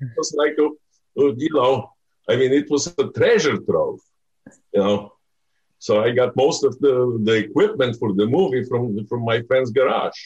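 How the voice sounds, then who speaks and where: With a Bulgarian accent, a man speaks at a fairly slow pace in a medium, somewhat breathy voice with ordinary pitch variation. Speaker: film director. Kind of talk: interview. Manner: halting.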